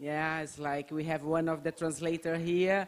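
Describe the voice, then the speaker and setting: Speaking with a Portuguese accent, a woman uses a very deep, low pitch. Her pace is fairly slow. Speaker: theater practitioner and author. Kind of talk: talk at an event.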